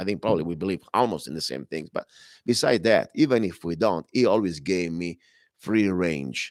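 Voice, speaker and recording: Lively intonation in an Italian accent at a moderate pace, on a very clean recording with a silent background. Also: man, very deep, low pitch for a man. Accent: Italian accent, noticeable. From Italy. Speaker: radio talk show host and minister. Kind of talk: talk radio monologue. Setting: broadcast from a club temple. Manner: halting, self-correcting.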